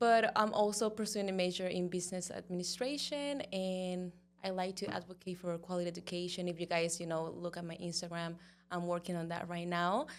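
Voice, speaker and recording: Speaking with a Spanish accent, a woman has a fairly low pitch. Her pace is fairly quick, and her pitch varies in an ordinary way. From Cuba. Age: 20s. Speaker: model and pageant queen. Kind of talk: interview.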